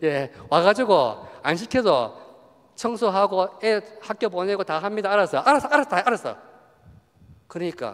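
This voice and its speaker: A man's lively intonation carries his words at a moderate pace. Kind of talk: retreat lecture to parishioners. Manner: lively conversational, humorous, acting out dialogue.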